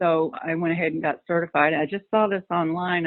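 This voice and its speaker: A woman's fairly low-pitched, ordinary speaking voice, with ordinary pitch variation at a moderate pace. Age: 60s. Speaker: recovery group facilitator, former nurse. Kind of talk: interview.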